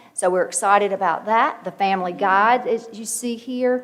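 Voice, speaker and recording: Noticeable background noise runs under this woman's voice. Her pitch varies in an ordinary way. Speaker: education official presenting to board. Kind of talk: formal presentation.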